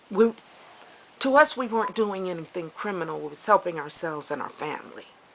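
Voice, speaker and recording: Over noticeable background noise, a woman talks at a fairly quick pace. Her medium-pitched voice has lively intonation. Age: 60s. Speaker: vlogger. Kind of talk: personal video diary. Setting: outdoors, walking with camera. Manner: halting.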